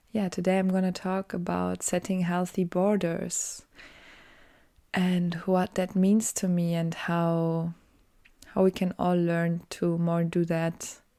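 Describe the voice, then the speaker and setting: A woman with a German accent speaks very slowly at a fairly low pitch, in a monotone, flat intonation. Her tone is dark and mellow, and the recording is very clean with a silent background. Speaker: podcaster, design student. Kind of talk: casual solo podcast monologue. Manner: halting, many fillers.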